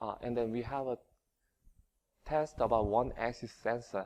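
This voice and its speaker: A man speaks with a Korean accent at a medium pitch. His intonation stays fairly even. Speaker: engineering researcher. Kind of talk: conference presentation. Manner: halting, many fillers.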